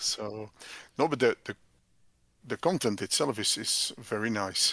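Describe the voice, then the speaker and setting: Someone with a non-native accent speaks at a fairly slow pace. The sound is dry and close, with no echo. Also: man. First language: not English. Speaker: software developer and business owner. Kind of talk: casual chat. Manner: halting.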